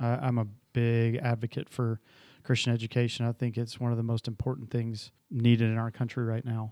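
A man speaks at a fairly quick pace in a dark, mellow tone, his pitch medium and his intonation monotone and flat. The sound is dry and close with no echo, on a very clean recording with a silent background. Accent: American. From Atlanta, Georgia (US South). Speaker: school president. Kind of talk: casual interview.

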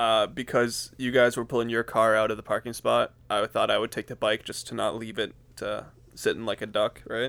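A man with an unremarkable speaking voice, medium pitch, moderate pace. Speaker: podcast co-host. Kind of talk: casual banter podcast chat. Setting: joined remotely via Discord.

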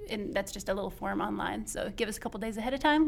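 Talking very fast, a woman with an American accent uses a fairly high voice with ordinary pitch variation. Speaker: librarian and programs coordinator. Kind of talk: casual interview chat.

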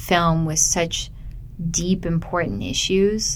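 Speaking with a Canadian accent, a woman talks fairly slowly in a fairly low voice with ordinary pitch variation, amid noticeable background noise and audible room echo. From Canada, Ontario (Burlington). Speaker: filmmaker. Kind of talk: interview. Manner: halting with fillers.

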